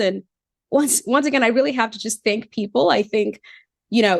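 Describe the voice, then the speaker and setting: The voice, with an American accent, shows vocal fry. The sound is dry and close with no echo, over a quiet background. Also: woman. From Cameroon. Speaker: PhD student researcher. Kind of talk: interview.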